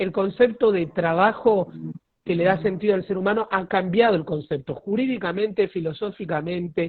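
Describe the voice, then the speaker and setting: Speaking with a Rioplatense accent, a man with a high pitch talks at a moderate pace with ordinary pitch variation. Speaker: lawyer, live-stream host. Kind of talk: casual chat. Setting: video call.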